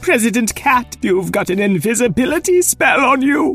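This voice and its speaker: A man's put-on character voice at an extremely high pitch, with faint music in the background. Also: moderate pace. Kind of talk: children's story comic voice. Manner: flustered, huffy, pompous.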